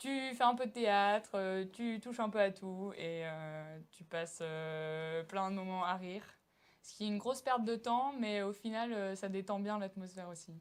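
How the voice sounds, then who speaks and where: A woman with an ordinary speaking voice talks at a medium pitch and a fairly slow pace, with ordinary pitch variation and big swings in loudness. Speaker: student actor. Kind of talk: interview.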